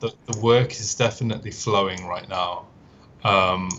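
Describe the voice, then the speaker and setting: A man with a British accent speaks at a fairly slow pace, his fairly low voice keeping a fairly even intonation. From northern England, Manchester. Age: 20s. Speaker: automotive concept artist. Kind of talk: podcast interview. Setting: live stream.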